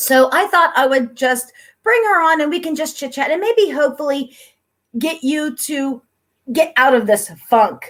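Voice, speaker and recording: A woman with an American accent speaks at a fairly slow pace in a high pitch, her intonation lively. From Pennsylvania, US. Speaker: YouTube host, interviewer. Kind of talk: casual chat.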